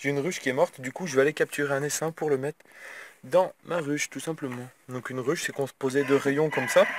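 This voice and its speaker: A man speaks at a fairly quick pace, his pitch fairly high for a man. His intonation stays fairly even, and the sound is dry and close with no echo. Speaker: vlogger and hobby beekeeper. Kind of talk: casual vlog. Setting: in a car. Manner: fast.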